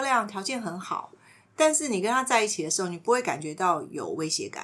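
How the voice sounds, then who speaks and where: A woman's bright, sharp voice moves through very wide pitch swings. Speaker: podcast host and counselor-style teacher. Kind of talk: casual chat with light counseling.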